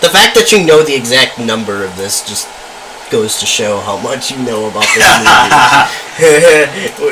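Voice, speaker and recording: A man speaks fairly slowly with lively intonation and long, frequent pauses over noticeable background noise. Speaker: student radio talk show host. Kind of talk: casual talk show discussion.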